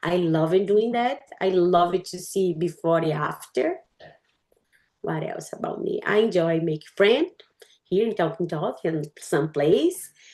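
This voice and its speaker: Speaking in a Portuguese accent, a woman has a fairly low pitch and a dark, mellow tone. She talks at a fairly slow pace with ordinary pitch variation. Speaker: English learner. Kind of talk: casual chat.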